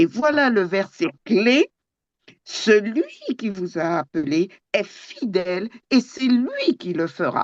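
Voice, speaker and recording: Speaking at a very slow pace with long, frequent pauses, a woman uses a fairly high pitch and very wide pitch swings in a dry, close sound with no echo. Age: 70s. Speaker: Bible study participant. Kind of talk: group Bible study discussion. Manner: halting, many fillers.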